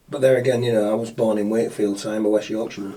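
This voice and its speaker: Amid noticeable background noise, a man at medium pitch speaks at a very fast pace. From northern England, Yorkshire (Scarborough). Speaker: local businessman, podcast guest. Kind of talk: casual chat.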